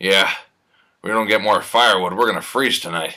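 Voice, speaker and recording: In a put-on character voice, a man talks at a fairly quick pace, raspy and fairly low-pitched, with fairly even intonation. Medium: stage play.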